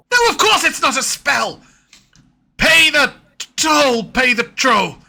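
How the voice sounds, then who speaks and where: A high-pitched put-on character voice speaks at a fairly slow pace. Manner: insistent, feigned.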